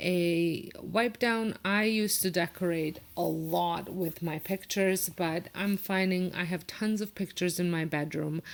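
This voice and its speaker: A woman with a non-native accent speaks fairly slowly, her fairly low pitch held in fairly even intonation. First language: not English. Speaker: home decor vlogger. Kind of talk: casual voiceover narration. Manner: hesitant, many fillers.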